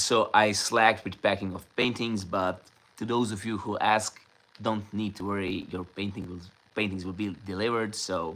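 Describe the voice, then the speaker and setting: The man speaks in a monotone, flat way at a fairly low pitch and a moderate pace. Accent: slight non-native. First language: Serbian. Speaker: painter. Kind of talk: casual live stream Q&A chat.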